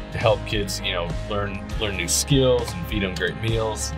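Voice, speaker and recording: Clear music plays behind a man with a very deep, low voice. He speaks at a moderate pace. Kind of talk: casual promotional commentary. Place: car.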